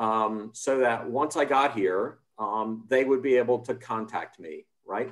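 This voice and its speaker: Speaking at a fairly slow pace with hardly any pauses, a man has an unremarkable speaking voice at a medium pitch with ordinary pitch variation. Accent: American. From United States. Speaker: democracy policy expert, panelist. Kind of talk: panel discussion.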